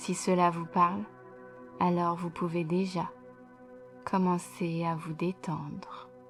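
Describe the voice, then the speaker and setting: The speaker talks at a very slow pace with long, frequent pauses and fairly even intonation, while music plays in the background. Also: woman, fairly low pitch for a woman. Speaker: hypnotherapist. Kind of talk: guided hypnosis session. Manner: slow, soft-spoken.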